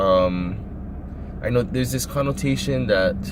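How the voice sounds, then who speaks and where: Over noticeable background noise, a man talks at a very slow pace with a fairly low pitch. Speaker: eBay reseller. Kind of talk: casual talk to camera.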